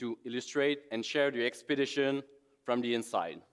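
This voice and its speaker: In a Quebec accent, a man talks at a moderate pace with a fairly high pitch. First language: French. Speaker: expedition photographer. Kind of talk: conference presentation.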